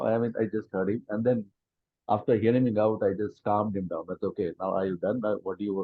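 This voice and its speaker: Speaking at a fairly quick pace, a man uses fairly even intonation. His voice is fairly low in pitch, with an Indian accent. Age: 50s. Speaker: friend of the author. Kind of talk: testimony.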